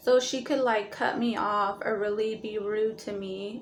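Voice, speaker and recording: A woman speaks with a fairly high pitch and fairly even intonation. Room echo is audible around her. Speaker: astrology vlogger. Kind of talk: casual vlog monologue. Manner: hesitant, many fillers.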